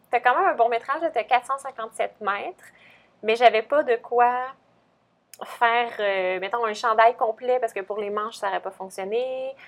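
A woman talks fairly slowly, leaving long, frequent pauses, her fairly high pitch rising and falling in an ordinary way. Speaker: podcast co-host, knitting shop staff. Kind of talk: casual chat.

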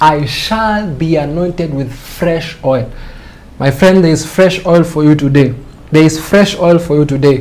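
A man's ordinary pitch variation comes through noticeable background noise. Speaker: preacher. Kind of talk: sermon.

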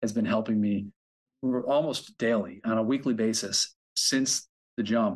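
Over a quiet background, a man with an American accent and an ordinary speaking voice talks at a moderate pace and medium pitch with fairly even intonation. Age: 40s. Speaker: record label owner. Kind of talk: casual interview. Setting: video call.

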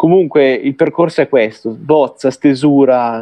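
A man's fairly high voice moves at a fairly slow pace. His intonation is fairly even. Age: 20s. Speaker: journalist and writer. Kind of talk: interview. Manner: halting.

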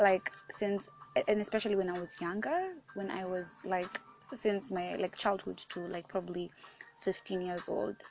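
A woman talks with a medium pitch. Music can be heard behind her. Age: 18. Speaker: podcast host. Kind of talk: casual, chatty.

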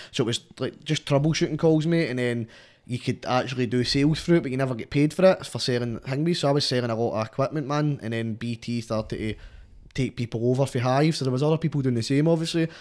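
A man talks at a very fast pace in a Scottish accent. His pitch sits in the medium range and varies in an ordinary way. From Scotland. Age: 20s. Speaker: rapper. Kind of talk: casual chat.

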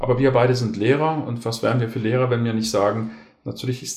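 A man speaks at a medium pitch, his voice somewhat breathy. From Germany, Konstanz. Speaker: historian, teacher and coach. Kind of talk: casual discussion. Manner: articulate, formal.

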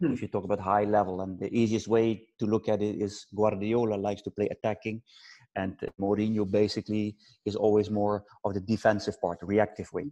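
Speaking fairly quickly with a Dutch accent, a man has a fairly low pitch, a dark, mellow tone and monotone, flat intonation, recorded dry and close with no echo. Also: quiet background. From Netherlands. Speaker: football coach. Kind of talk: interview. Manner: halting.

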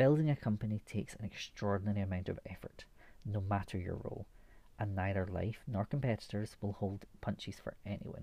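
A man speaks in a dark, mellow tone at a fairly low pitch. His voice is somewhat breathy, with ordinary pitch variation. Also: fairly quick pace. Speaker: podcast host. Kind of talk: scripted intro and outro.

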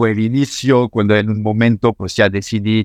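In a French accent, a man speaks at medium pitch, the sound dry and close with no echo over a quiet background. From France (Normandy). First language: French (speaking Spanish). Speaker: architect. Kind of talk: interview. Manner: halting, many repetitions.

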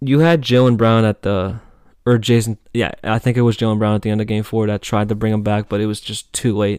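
An ordinary speaking voice from a man with an American accent, fairly low in pitch, with fairly even intonation and a fairly quick pace, on a very clean recording with a silent background. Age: young. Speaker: student podcaster. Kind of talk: casual solo commentary. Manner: many filler words, casual.

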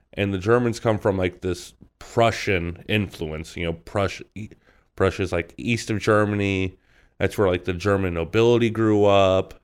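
A man with an unremarkable speaking voice talks at a fairly low pitch with fairly even intonation on a very clean recording with a silent background. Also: moderate pace. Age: 20s. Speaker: podcast guest discussing history. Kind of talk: casual chat.

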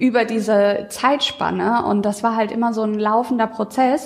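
Noticeable background noise sits behind a woman whose fairly high voice stays monotone and flat. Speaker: marketing working student. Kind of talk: casual chat.

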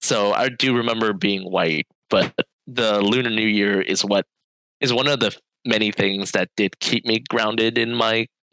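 With an American accent, a man speaks at a moderate pace in a medium pitch, his tone bright and sharp and the sound dry and close with no echo. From Vietnamese American, Bay Area, California. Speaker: podcast co-host. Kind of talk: casual chat.

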